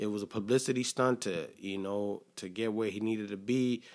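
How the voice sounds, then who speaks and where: A man talks at a moderate pace with a medium pitch. The background is quiet. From Texas (Killeen). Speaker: podcast host, small business owner. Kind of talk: casual solo monologue. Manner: halting, many fillers and repeats.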